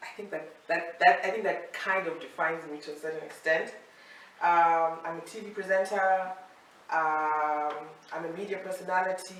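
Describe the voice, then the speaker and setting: Big swings in loudness mark this moderately paced, fairly even delivery heard with audible room echo. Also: woman, fairly low pitch for a woman. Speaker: TV presenter. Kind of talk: casual chat.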